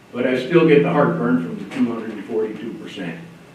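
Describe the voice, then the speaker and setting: There is noticeable background noise and audible room echo as a man talks in a fairly high pitch. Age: 80s+. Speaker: public commenter, retired Navy veteran. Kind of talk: public comment at county meeting. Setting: county commission meeting room. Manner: formal.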